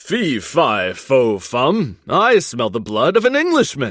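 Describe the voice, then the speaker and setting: A man puts on a character voice at a medium pitch and delivers it fairly slowly. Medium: read story.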